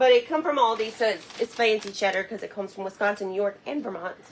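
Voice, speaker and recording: Noticeable background noise surrounds a woman with a Southern US accent. She talks at a fairly quick pace with ordinary pitch variation. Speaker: cooking show host. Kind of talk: cooking tutorial. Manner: fast; casual chatty.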